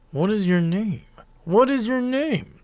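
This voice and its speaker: Putting on a character voice, a man speaks in a high pitch. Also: fairly slow pace. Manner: rage building.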